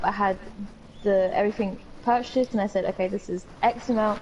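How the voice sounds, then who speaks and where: A woman with a British accent talks at a fairly quick pace over noticeable background noise. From UK. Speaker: podcast co-host. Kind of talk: casual chat.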